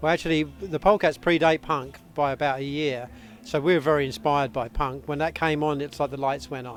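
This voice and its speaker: Over music in the background, a man with a fairly high voice speaks with fairly even intonation. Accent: British. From North London, England. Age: 60s. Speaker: rockabilly band lead singer. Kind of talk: interview. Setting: backstage at music festival.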